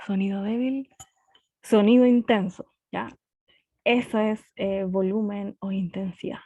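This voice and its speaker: Her fairly high pitch carries a dark, mellow tone. The woman speaks at a very slow pace, in dry, close sound with no echo. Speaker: physics teacher. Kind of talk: online lecture.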